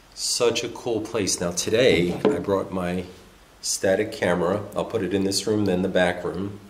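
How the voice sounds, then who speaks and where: A man's fairly low voice at a moderate pace, with ordinary pitch variation, audible room echo and light background noise. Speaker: vlogger exploring abandoned places. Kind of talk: casual vlog chat. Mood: somber, slightly spooked. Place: church.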